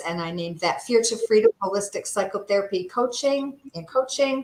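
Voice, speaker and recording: A woman with an American accent speaks in a normal speaking voice at a moderate pace, with ordinary pitch variation. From upstate New York. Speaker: therapist and health coach. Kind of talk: presentation in a livestream interview. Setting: livestream.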